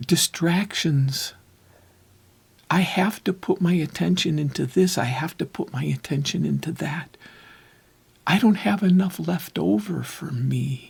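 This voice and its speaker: At a fairly slow pace full of long, frequent pauses, a man speaks with a fairly high pitch and vocal fry. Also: ordinary pitch variation. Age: 60s. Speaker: recovery and relationship talk host. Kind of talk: reflective monologue. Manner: halting.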